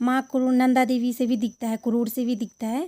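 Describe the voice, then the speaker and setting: Woman's high-pitched voice in a dark, mellow tone with fairly even intonation. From Uttarakhand, Garhwal. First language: Garhwali (speaking Hindi). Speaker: travel vlogger. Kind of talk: vlog narration.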